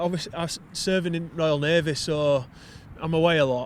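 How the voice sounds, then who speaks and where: Talking at a fairly quick pace, a man with a fairly high pitch speaks in a Yorkshire accent. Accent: broad Yorkshire. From Wakefield, Yorkshire, northern England. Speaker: poet and navy serviceman. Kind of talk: casual interview chat.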